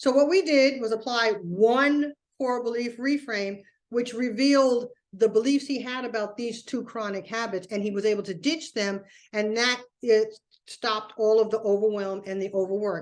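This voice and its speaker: A woman with a fairly high voice talks at a moderate pace with ordinary pitch variation, an ordinary speaking voice, over a quiet background. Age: 60s. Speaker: productivity coach. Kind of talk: webinar presentation. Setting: live online webinar. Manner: conversational.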